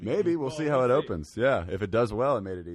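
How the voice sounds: Big swings in loudness and very wide pitch swings mark a man's speech. He talks at a very fast pace.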